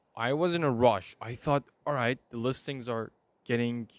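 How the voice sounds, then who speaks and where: With an Iranian accent and an animated tone, a man talks at medium pitch and a moderate pace, in a dry, close sound with no echo. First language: Persian. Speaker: vlogger. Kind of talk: personal video diary. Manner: casual, animated.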